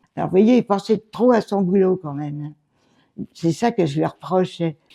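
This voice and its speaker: Speaking at a moderate pace, a woman has a dark, mellow tone and a medium pitch with ordinary variation, recorded dry and close with no echo. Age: 90s. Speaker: retired seamstress and company secretary. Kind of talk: interview, life story. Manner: halting, with hesitations.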